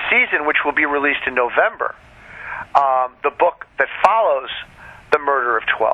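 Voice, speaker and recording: A man speaks at a moderate pace in an ordinary speaking voice, fairly high in pitch. His intonation is lively. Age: 60s. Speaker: author. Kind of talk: casual interview.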